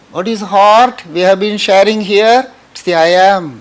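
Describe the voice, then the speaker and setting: A man with a Tamil Indian accent speaks at a high pitch with fairly even intonation amid noticeable background noise. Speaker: spiritual teacher. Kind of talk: spiritual talk.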